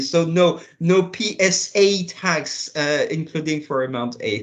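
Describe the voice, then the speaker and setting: With a French accent, a man speaks at a high pitch. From France. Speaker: international tax policy official. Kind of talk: panel interview.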